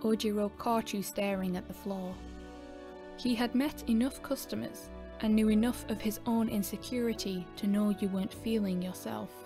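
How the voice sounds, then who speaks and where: A woman's moderately paced speech comes with music playing behind it. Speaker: ASMR fanfiction narrator. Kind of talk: ASMR story narration.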